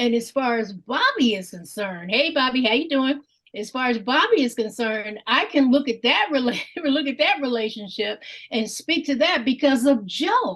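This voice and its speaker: Her lively intonation rides on a high pitch. The woman keeps a moderate pace. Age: 60s. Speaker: Bible study participant. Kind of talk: group discussion.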